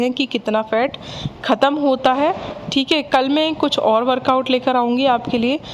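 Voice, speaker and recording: Over noticeable background noise, a woman with a high voice speaks at a fairly slow pace. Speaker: fitness vlogger. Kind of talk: workout tutorial. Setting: at home.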